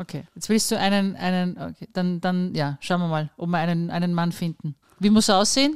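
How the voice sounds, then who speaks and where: A plain, everyday voice comes through with ordinary pitch variation. The sound is dry and close, with no echo. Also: woman, fairly low pitch for a woman, moderate pace. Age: 50s. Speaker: podcast host. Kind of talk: casual chat.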